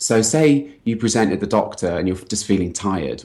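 A man speaks at a fairly quick pace with a London accent. His pitch sits fairly low. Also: very clean recording, silent background. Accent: British English, London. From London, England. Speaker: health hacker, former software engineer. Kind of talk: interview about health and talk topic.

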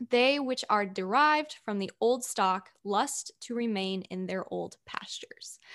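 A woman with a normal speaking voice talks at a fairly slow pace, her fairly high pitch moving with ordinary variation against a quiet background. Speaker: podcast host. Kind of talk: casual Q&A chat.

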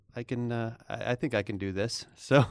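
A man with an ordinary speaking voice and an American accent talks at a medium pitch with fairly even intonation. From US, Northern Virginia (DC suburbs). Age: 40s. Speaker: web developer and storyteller. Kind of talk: casual interview chat. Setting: studio.

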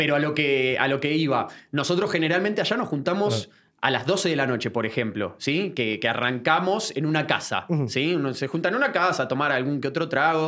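A man speaks in an Argentine accent with lively intonation. His tone is bright and sharp. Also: fairly high pitch for a man, fairly quick pace. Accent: Rioplatense Argentine Spanish. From Buenos Aires, Argentina (Floresta). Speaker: football commentator. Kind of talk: interview conversation. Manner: halting with many repetitions.

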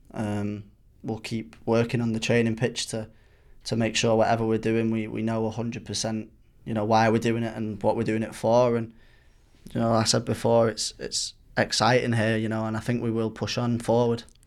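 At a fairly quick pace, a man with a Mancunian accent speaks in a medium pitch with monotone, flat intonation, in a very clean recording with a silent background. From Manchester, England. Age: 20s. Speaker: professional footballer. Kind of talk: interview. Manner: halting, repeats words.

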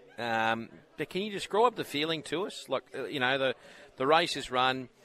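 Crowd noise fills the background as a man with an Australian accent talks at a moderate pace and medium pitch, with very wide pitch swings. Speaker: radio host. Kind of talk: radio interview. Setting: live at sales venue with background noise. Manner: casual, friendly.

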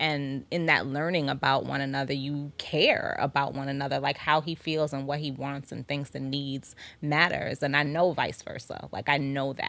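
A woman with a New York accent speaks in a very deep, low voice, flat and monotone, at a moderate pace with hardly any pauses, on a very clean recording with a silent background. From Staten Island, New York. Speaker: wife in couple interview. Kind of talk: casual interview.

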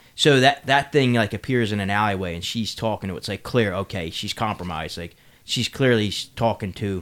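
Here a man speaks in an ordinary speaking voice with a fairly low pitch. His pace is moderate, with ordinary pitch variation. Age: 30s. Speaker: podcast co-host. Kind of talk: casual chat.

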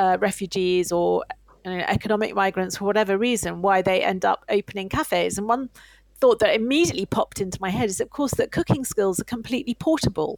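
A woman's unremarkable speaking voice at medium pitch, fairly quick, with ordinary pitch variation and a dry, close sound with no echo. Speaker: radio host. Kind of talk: interview.

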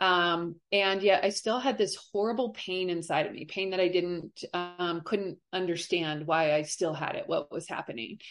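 In an unremarkable speaking voice, a woman with a General American accent talks at a moderate pace, fairly low in pitch with ordinary pitch variation, over a quiet background. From Colorado, US. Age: 40s. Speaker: abuse survivor. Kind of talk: testimony.

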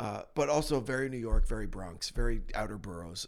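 A man with an American accent and vocal fry, at a moderate pace with ordinary pitch variation, on a very clean recording with a silent background. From New Jersey. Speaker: podcast host. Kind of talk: casual chat. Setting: studio.

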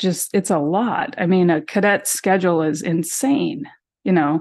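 Against a quiet background, a woman with an American accent talks at a fairly slow pace and medium pitch with lively intonation, in an ordinary speaking voice. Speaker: sister of missing woman. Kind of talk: interview.

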